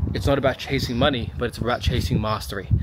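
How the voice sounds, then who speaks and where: Delivered at a fairly quick pace, the speech shows ordinary pitch variation. The sound is dry with no echo, though noticeable background noise is present. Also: man. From Sydney, Australia. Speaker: physiotherapist and business mentor. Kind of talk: casual talk to camera. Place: garden. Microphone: phone near.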